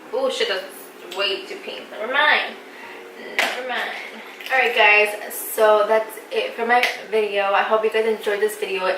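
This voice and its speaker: Speaking at a fairly slow pace with fairly even intonation, a woman with a fairly high pitch is heard over noticeable background noise and audible room echo. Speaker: beauty vlogger. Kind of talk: casual chat.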